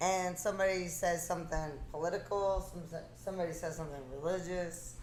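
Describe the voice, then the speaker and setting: A woman talks at a fairly low pitch and a fairly quick pace with monotone, flat intonation. Audible room echo surrounds her voice. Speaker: physical therapist. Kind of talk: casual chat. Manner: loud.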